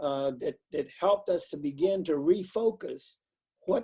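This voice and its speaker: The man's dark, mellow voice moves at a fairly slow pace. His intonation is lively. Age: 80s+. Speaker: pastor. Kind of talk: interview. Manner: halting.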